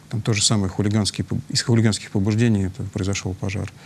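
A man's fairly low, monotone, flat voice at a very fast pace over light background noise. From Tolyatti, Russia. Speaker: fire safety official. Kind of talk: studio interview. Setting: studio. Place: studio.

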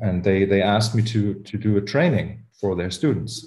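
A man's dark, mellow, somewhat breathy voice with a German accent and ordinary pitch variation. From Germany. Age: 40s. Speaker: podcast host, musician. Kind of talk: interview.

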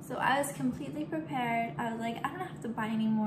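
A woman speaks with clear music in the background. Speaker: home cook vlogger. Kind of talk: casual vlog chat. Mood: playful, self-mocking. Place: kitchen. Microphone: phone near.

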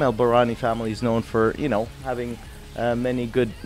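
A man is talking. Soft music plays faintly behind him. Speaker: guest. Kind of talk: interview answer. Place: studio. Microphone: studio mic.

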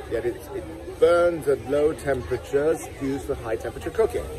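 With crowd noise behind, the speaker goes at a fairly slow pace. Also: man. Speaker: health vlogger. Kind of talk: casual vlog chat. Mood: opinionated, critical. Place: market. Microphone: phone near.

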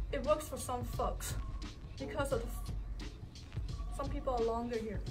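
A woman talks fairly slowly while clear music plays behind her. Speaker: physical therapist. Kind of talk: demonstration to class while cueing a client. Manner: soft-spoken. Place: gym. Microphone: camera far.

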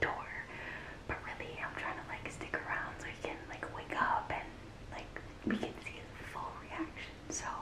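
A woman is heard. She is whispering. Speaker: vlogger. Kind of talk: casual vlog chat. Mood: excited, playful. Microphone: phone near.

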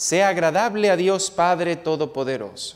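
Against a quiet background, a man talks in a high pitch with a warm tone. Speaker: priest. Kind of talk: priest homily and mass liturgy. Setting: church. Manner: solemn, measured, reverent liturgical delivery; warm, direct address to congregation. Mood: solemn, measured. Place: church. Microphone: lapel.

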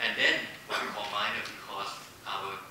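The speaker has a Thai accent and talks at a moderate pace, with noticeable background noise and strong room echo. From Thailand. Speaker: corporate foundation executive. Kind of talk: panel presentation. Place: hall.

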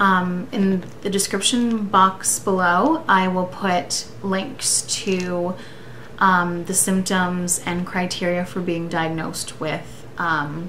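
Her intonation stays fairly even as this woman speaks. Light background noise can be heard. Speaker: vlogger. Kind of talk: casual vlog chat. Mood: serious, earnest, personal. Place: home room. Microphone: webcam.

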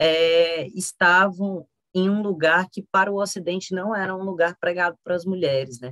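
Fairly even intonation at a moderate pace over a quiet background. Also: woman. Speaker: teacher. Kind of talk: lecture. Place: home room.

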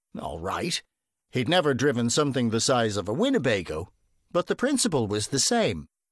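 On a very clean recording with a silent background, a man speaks at a moderate pace in an animated, playful tone with a medium pitch and vocal fry. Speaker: audiobook narrator. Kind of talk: audiobook reading of a comic crime novel, told in third person with a light, wry tone.

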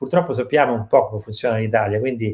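The background is quiet. The speaker's pitch varies in an ordinary way. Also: man. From Italy. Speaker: drummer and drum teacher; drum teacher. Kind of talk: live online interview. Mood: calm, thoughtful. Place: home room.

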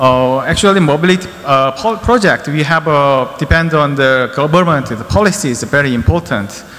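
A man at a moderate pace, lively intonation and hardly any pauses. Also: fairly high pitch for a man. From South Korea. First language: Korean (speaking Vietnamese). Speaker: company infrastructure department head, presenter; presenter. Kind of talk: conference presentation. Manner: halting, many fillers. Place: hall. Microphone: podium.

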